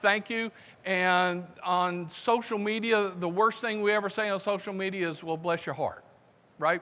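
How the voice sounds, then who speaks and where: High-pitched and raised, a man's projected voice with a Southern US accent, bright and sharp in tone, with ordinary pitch variation. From US South, South Carolina. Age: 60s. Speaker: conference speaker. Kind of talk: conference talk.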